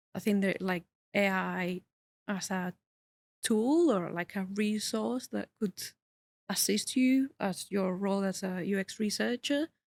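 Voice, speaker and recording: A woman with a non-native accent and medium pitch speaks at a fairly slow pace with long, frequent pauses. The sound is dry and close, with no echo. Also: ordinary pitch variation. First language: not English. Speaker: user researcher. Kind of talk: casual interview chat. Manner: halting, many fillers.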